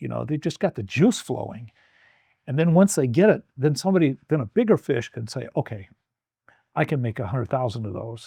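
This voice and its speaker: A man with an American accent talks fairly quickly at a medium pitch, his tone dark and mellow, with vocal fry. His pitch swings very widely, and the sound is dry and close with no echo. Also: very clean recording, silent background. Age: 70s. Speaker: Vietnam veteran and business leader. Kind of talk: casual interview chat. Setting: home garage. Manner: animated.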